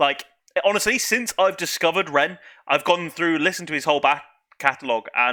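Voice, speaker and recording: A man with a British accent speaks in a bright, sharp tone. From UK. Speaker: YouTube music reactor. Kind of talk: reaction video commentary. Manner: casual, hesitant with fillers.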